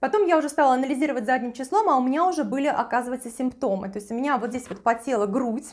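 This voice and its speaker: Over a quiet background, a woman talks at a very fast pace. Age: 40s. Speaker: beauty and lifestyle video blogger; lifestyle video blogger. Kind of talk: personal testimony to camera; product recommendation. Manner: casual, with frequent filler hesitations. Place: kitchen. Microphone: lapel.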